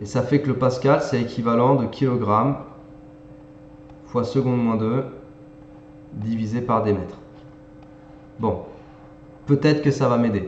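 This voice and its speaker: Pausing long and often, a man talks at a fairly slow pace with fairly even intonation and a medium pitch, with audible room echo. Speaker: math and physics tutor. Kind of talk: tutorial. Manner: casual, conversational.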